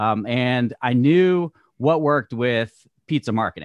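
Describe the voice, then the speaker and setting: A man's normal speaking voice, medium in pitch with lively intonation, dry and close with no echo, against a quiet background. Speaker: podcast host and realtor. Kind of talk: casual interview chat.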